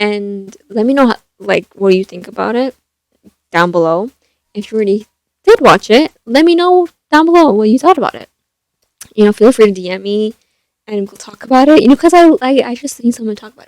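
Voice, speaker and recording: Soft-spoken and fairly high-pitched, a woman talks at a fairly quick pace with very wide pitch swings, big swings in loudness and long, frequent pauses, in a dry, close sound with no echo. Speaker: YouTuber, movie reviewer. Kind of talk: casual vlog talk. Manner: hesitant, many fillers.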